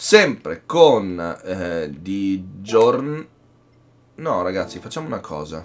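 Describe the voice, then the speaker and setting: A man with a fairly low pitch speaks at a very slow pace, leaving long, frequent pauses. His pitch swings very widely, and his loudness shifts in big swings. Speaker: gaming youtuber. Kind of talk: live gaming commentary, casual. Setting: home recording, gameplay voiceover. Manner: excitable, animated, shouting tense race commentary. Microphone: headset.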